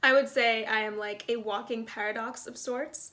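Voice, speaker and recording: A woman with an American accent, fairly high-pitched, with an unremarkable speaking voice at a moderate pace. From New York, the Bronx. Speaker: actor. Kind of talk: self-introduction reel, casual monologue.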